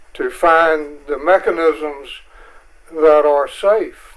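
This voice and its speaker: Noticeable background noise sits behind a man with a North Carolina accent. He talks at a very slow pace in a fairly high pitch with fairly even intonation. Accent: Southern US (North Carolina). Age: 80s+. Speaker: public commenter at county meeting. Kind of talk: public comment. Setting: county board meeting.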